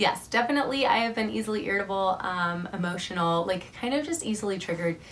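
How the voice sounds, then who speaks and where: A woman speaks at a very fast pace with hardly any pauses, her medium-pitched voice full of lively intonation. Noticeable background noise runs underneath. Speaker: vlogger. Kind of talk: casual vlog update.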